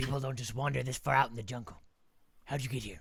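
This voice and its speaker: Putting on a character voice, a man talks very fast in a raspy voice at medium pitch. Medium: actual play. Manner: gruff, suspicious, prickly.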